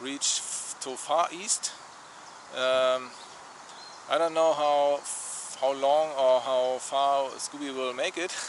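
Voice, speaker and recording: A man's fairly high, flat, monotone voice with a German accent, at a very slow pace with long, frequent pauses. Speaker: travel vlogger. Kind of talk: casual vlog talk. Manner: halting, many fillers.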